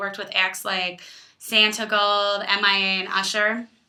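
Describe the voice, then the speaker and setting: In an Illinois accent, a woman speaks at a moderate pace with a medium pitch and a bright, sharp tone. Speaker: student. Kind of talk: class presentation to camera.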